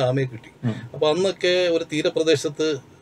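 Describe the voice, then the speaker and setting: A man talks in a plain, everyday voice, pitched fairly high. His intonation stays fairly even. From Kerala, Kollam coast (Sakthikulangara); Kerala. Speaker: writer and playwright; interview guest. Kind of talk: interview. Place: studio. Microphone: lapel.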